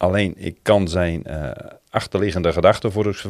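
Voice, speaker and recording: At a fairly quick pace, a man with a very deep, low pitch speaks with ordinary pitch variation. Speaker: church member. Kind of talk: casual chat.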